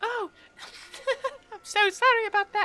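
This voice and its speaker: In a put-on character voice, the speaker talks at a moderate pace with an extremely high pitch and monotone, flat intonation. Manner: polite, apologetic.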